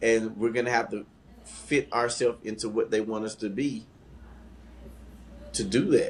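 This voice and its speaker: Speaking with a Southern US accent, a man holds a moderate pace. He pauses long and often. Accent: country Southern. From Atlanta, US South. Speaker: podcast co-host. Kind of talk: casual chat. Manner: animated.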